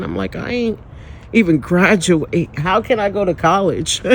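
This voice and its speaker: Animated and high-pitched, a man talks at a moderate pace with lively intonation. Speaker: spiritual vlogger. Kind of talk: personal testimony.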